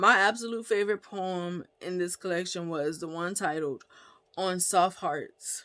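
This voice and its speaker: A woman speaks fairly slowly in a bright, sharp tone. The recording is very clean, with a silent background. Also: medium pitch for a woman, ordinary pitch variation. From US South, Gullah Geechee community. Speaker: author and book reviewer. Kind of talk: book review vlog. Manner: casual, conversational with fillers.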